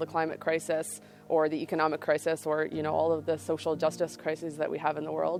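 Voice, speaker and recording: Over music in the background, someone talks at a fairly quick pace with a Canadian accent. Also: woman. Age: 20s. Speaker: farmer. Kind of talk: interview. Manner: halting.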